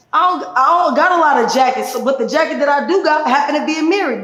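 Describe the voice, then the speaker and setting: Speech in an animated tone moves at a fairly quick pace, with audible room echo. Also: woman. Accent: American. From Chicago, US Midwest. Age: 30s. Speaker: community activist. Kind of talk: podcast interview.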